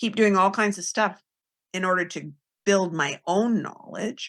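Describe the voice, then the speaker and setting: The woman's voice has a medium pitch and a bright, sharp tone. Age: 60s. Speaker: nutritionist and low oxalate coach. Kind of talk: podcast interview.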